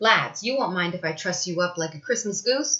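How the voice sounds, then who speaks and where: A woman puts on a wheezy character voice at a medium pitch. Her intonation is lively and her pace moderate. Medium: read story.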